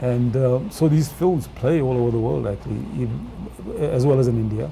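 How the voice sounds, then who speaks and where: A man talks at a fairly quick pace with a medium pitch. Noticeable background noise and audible room echo surround his voice. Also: lively intonation. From England. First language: Punjabi. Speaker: film director. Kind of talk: interview. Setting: studio. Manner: halting, many fillers.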